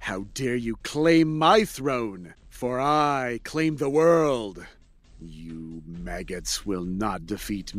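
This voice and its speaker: A man growls in a put-on character voice at a medium pitch, speaking very slowly on a very clean recording with a silent background. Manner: growling, menacing, boastful.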